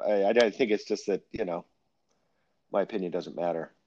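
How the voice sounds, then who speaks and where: This man has an American accent. The rise and fall of his pitch is ordinary. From Central Valley of California. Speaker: talk show host. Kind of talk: casual interview.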